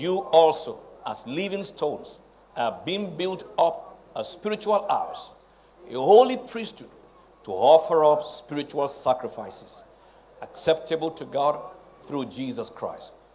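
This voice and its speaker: Over light background noise, a man talks at a fairly slow pace with long, frequent pauses, very wide pitch swings and big swings in loudness. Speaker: presiding pastor preaching. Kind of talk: sermon. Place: church.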